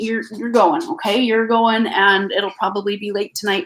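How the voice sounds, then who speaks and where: Lively intonation at a fairly slow pace, in a Canadian accent. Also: woman. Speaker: tarot reader. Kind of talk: live tarot reading stream. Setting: live stream from home. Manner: hesitant with many fillers.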